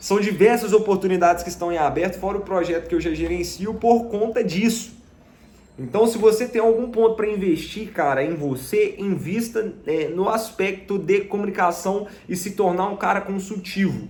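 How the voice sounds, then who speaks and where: His voice is high for a man, and its pitch variation is ordinary. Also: moderate pace. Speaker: sales closer and digital marketing youtuber. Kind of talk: casual vlog monologue. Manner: many fillers (né, tá).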